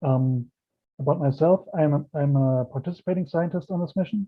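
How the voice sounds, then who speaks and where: A man with a German accent, fairly high pitch, fairly quick pace and fairly even intonation. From Germany. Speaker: planetary scientist. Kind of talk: lecture.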